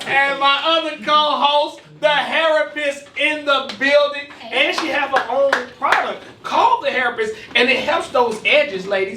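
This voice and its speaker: A raised, projected voice at a moderate pace, with audible room echo and noticeable background noise. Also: man, extremely high pitch for a man, ordinary pitch variation. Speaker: podcast co-host. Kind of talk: casual chat. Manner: loud.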